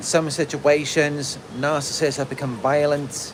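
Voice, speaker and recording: A man's fairly high-pitched, monotone, flat delivery with a British accent amid noticeable background noise. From UK. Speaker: narcissistic abuse survivor coach, video creator. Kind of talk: livestream monologue answering chat. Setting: outdoors in a park under a tree, livestream.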